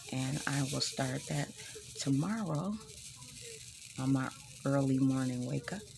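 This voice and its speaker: Over noticeable background noise, a woman with a very deep, low pitch speaks at a fairly slow pace, her intonation lively and her pauses long and frequent. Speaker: craft vlogger. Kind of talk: casual vlog. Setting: at home early morning. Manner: hesitant, many fillers.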